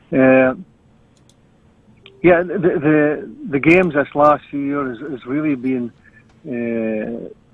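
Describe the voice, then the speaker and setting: A Scottish accent marks this man's fairly high-pitched voice, very slow and broken by long, frequent pauses, with big swings in loudness. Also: ordinary pitch variation. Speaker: Highland Games athletics announcer. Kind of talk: interview answer. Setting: video call recording (Zoom).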